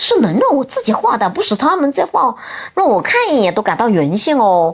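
Her pitch high and swinging very widely, a woman talks at a moderate pace against noticeable background noise. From Hunan, Xinhua county. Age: 50s. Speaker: office building cleaner and self-taught painter. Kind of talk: interview about life story.

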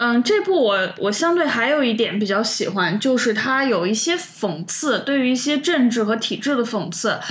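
A woman with a northwestern Chinese accent speaks at a high pitch with very wide pitch swings, a moderate pace, hardly any pauses and very even loudness, in a recording with audible room echo and noticeable background noise. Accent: Northwest Chinese. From Northwest China. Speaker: podcast co-host. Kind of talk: casual chat.

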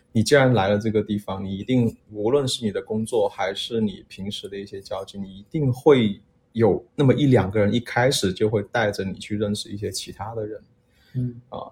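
This man's voice is fairly low in pitch and somewhat breathy. His intonation stays fairly even while his loudness swings widely. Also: moderate pace. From Guangxi. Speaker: podcast guest. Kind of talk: casual chat.

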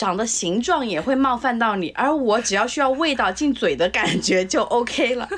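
A woman's high-pitched voice with lively intonation at a fairly slow pace, amid noticeable background noise. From southern China. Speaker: food lover, former restaurant industry worker. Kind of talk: casual chat.

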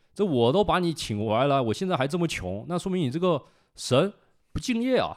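Over a silent background in a very clean recording, a man talks at a fairly quick pace with very wide pitch swings. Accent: northeastern Chinese. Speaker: culture enthusiast guest. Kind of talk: casual chat.

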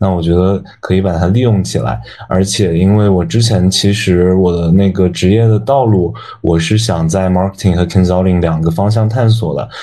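The voice has a dark, mellow tone, ordinary pitch variation, very even loudness and a moderate pace, with audible room echo. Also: man, very deep, low pitch for a man. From China, Yunnan (Dali). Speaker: university student and intern. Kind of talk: casual chat.

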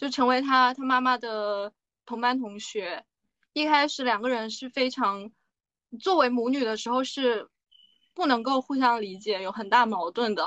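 A woman with a high pitch and ordinary pitch variation speaks at a fairly slow pace in a bright, sharp tone, with a dry, close sound and no echo. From China. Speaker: podcast co-host, drama recommender. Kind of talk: casual chat.

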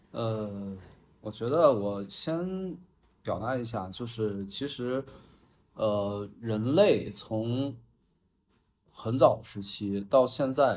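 This man talks at a very slow pace. He leaves long, frequent pauses. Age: 30s. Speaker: podcast guest. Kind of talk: casual chat. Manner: halting.

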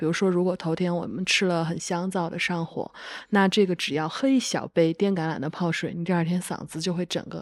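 Against a quiet background, a woman speaks at a moderate pace with a medium pitch. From Kunming, Yunnan. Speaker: podcast host. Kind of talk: casual chat.

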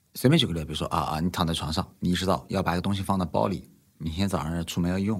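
At a very fast pace, a man with a very deep, low pitch and vocal fry speaks with ordinary pitch variation. The recording is very clean, with a silent background. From Nanjing, China. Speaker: investor. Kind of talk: casual chat.

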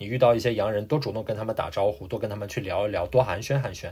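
A man's somewhat breathy, medium-pitched voice comes through a very clean recording with a silent background. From China. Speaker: immigrant working in finance. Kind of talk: casual interview chat. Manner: halting with many fillers.

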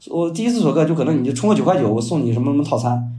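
A man talks at a very fast pace with a fairly high pitch and very wide pitch swings. Audible room echo surrounds his voice. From China, Shandong. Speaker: new media content strategist and author. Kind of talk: podcast interview. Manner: fast, repetitive filler words.

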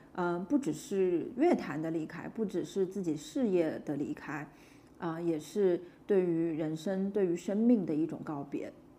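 A woman's fairly low, dark, mellow voice with lively intonation at a fairly slow pace. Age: 30s. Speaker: podcast host. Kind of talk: casual chat.

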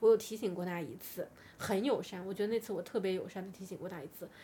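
At a very fast pace, a woman speaks in a dark, mellow tone. Her medium pitch shows ordinary pitch variation. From China. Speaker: podcast guest sharing personal stories. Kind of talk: casual storytelling chat.

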